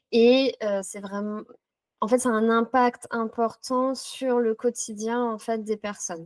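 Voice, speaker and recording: A woman speaks in a monotone with flat intonation. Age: 30s. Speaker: psychotherapy practitioner. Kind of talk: interview. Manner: hesitant with frequent fillers.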